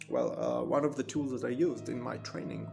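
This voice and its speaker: There is music in the background. A man talks at a moderate pace. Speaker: actor. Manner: hesitant, lots of filler sounds.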